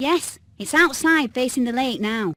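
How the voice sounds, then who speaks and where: A female-sounding put-on character voice, high and in a gentle, cheerful tone. The pace is moderate. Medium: video game.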